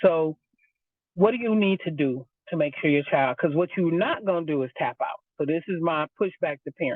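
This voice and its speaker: Animated and lively in intonation, a woman talks at a fairly low pitch. She has an American accent and keeps a moderate pace. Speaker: homeschool co-op founder. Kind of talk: interview.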